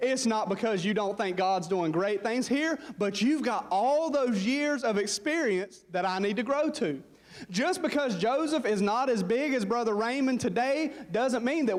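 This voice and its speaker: In a Southern US accent, a man speaks at a moderate pace in a high voice with lively intonation and very even loudness. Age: 20s. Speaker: pastor. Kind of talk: sermon. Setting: church. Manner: animated.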